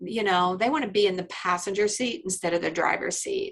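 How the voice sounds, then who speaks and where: A woman with an American accent talks at a moderate pace in an unremarkable speaking voice. Her pitch is medium for a woman. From Indiana, US Midwest. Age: 60s. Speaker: attorney. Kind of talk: podcast interview. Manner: conversational, many fillers.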